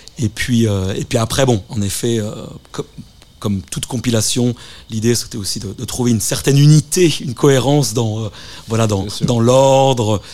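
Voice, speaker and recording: A man speaks at medium pitch and a moderate pace, with ordinary pitch variation. Noticeable background noise is present. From Japan (Tokyo), French family. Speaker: DJ and compilation curator. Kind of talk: radio interview. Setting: radio studio. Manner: halting, many fillers and repetitions.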